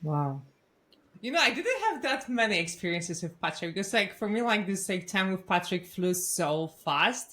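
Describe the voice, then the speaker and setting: With a non-native accent, a woman talks at medium pitch and a moderate pace. Her tone is bright and sharp, her intonation lively. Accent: foreign. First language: Polish. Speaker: podcast host. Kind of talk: podcast interview.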